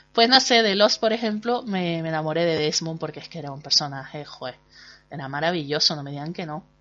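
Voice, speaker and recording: Music plays in the background as a woman speaks at a fairly quick pace. Her pitch is very deep and low, with ordinary variation. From Canary Islands, Spain. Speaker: podcast host and blogger. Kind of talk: casual monologue. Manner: chatty, hesitant with fillers.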